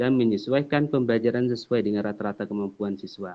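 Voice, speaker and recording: A man at a medium pitch and a fairly quick pace. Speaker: teacher. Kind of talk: presentation. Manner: fast; hesitant, many fillers.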